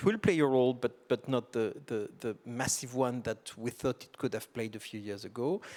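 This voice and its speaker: The speaker has a French accent and leaves hardly any pauses. The loudness swings widely. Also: man, medium pitch for a man, ordinary pitch variation, moderate pace. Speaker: tax policy expert, panelist. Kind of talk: panel discussion. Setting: conference stage with audience.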